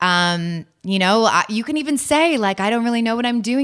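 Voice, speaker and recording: With an animated tone and lively intonation, a woman with a fairly high pitch speaks at a fairly quick pace. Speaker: writer and dating expert. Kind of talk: interview. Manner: animated, casual, lots of like.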